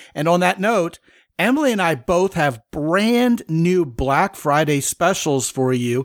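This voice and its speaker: Over a very clean recording with a silent background, a man with an unremarkable speaking voice speaks fairly slowly at a fairly high pitch, his intonation lively. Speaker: podcast host. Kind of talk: casual co-hosted podcast chat. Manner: upbeat, conversational.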